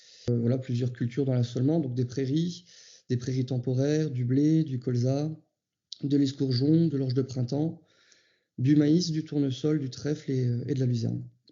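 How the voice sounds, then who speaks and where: A man's somewhat breathy voice holds fairly even intonation. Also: medium pitch for a man, moderate pace. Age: 30s. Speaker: farmer. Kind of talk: interview testimony. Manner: hesitant, many fillers.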